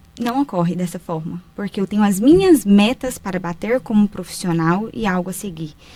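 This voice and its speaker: A somewhat breathy woman's voice with lively intonation at a moderate pace. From Brazil, Minas Gerais (Paracatu). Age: 30s. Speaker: writer, speaker and mentor, former bank manager. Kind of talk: podcast interview.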